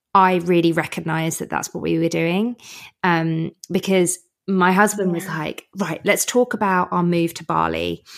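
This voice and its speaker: A British accent with fairly even intonation, on a very clean recording with a silent background. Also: woman, fairly low pitch for a woman, moderate pace. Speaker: podcast host and producer. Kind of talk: casual interview chat. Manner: chatty, rambly, informal.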